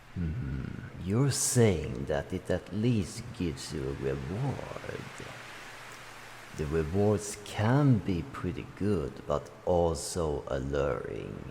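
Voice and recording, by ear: Doing a put-on character voice, a man speaks slowly at an extremely low pitch with a dark, mellow tone, vocal fry and big pitch swings.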